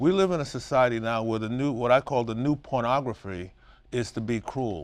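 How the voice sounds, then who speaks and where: A man with a New York accent. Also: very clean recording, silent background. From Brooklyn, New York. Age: 60s. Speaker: Alzheimer's caregiver and businessman. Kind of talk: interview. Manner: animated.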